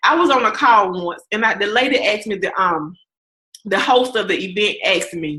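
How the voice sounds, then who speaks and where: A woman speaks in an animated tone with a Southern accent. Her pace is moderate. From US South. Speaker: podcast host and coach. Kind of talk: interview wrap-up, motivational talk.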